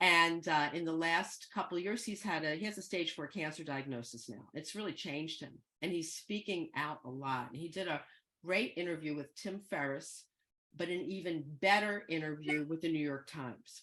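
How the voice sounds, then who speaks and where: A woman's fairly low-pitched, plain, everyday voice at a moderate pace, with ordinary pitch variation. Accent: American. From US Northeast, Philadelphia. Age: 60s. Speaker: guest speaker, psychedelics educator. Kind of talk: talk to an online group. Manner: conversational, with many fillers.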